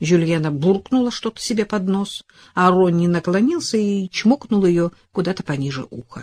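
With ordinary pitch variation, a speaker reads aloud in a natural voice.

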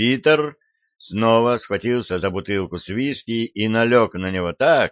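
There is a natural reading voice here with ordinary pitch variation over a quiet background.

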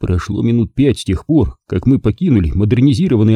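Someone reads aloud in a natural voice with lively intonation over a quiet background.

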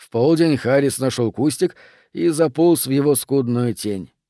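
The pitch varies in an ordinary way. The delivery is a natural reading voice.

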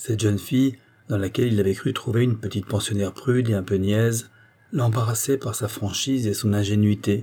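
Reading aloud naturally, with intonation kept fairly even

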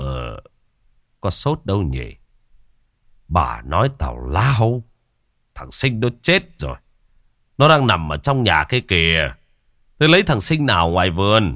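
Putting on a character voice, a man speaks low and bright-toned with big pitch swings, at a fairly slow pace broken by long, frequent pauses.

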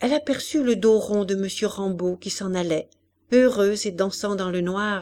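Against a quiet background, the speaker is reading aloud in a natural voice with ordinary pitch variation.

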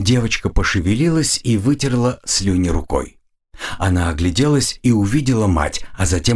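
With a quiet background, text is read aloud in a natural voice with lively intonation.

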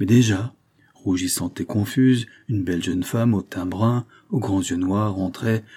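The pitch varies in an ordinary way as this passage is read aloud in a natural voice.

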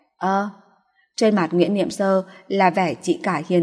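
With quiet surroundings, the speaker uses an unforced reading voice.

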